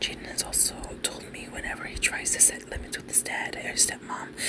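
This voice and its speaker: The speaker is soft-spoken. Loud background noise runs under the voice. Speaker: content creator. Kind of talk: reading a forum story aloud. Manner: soft-spoken ASMR reading voice. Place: home room.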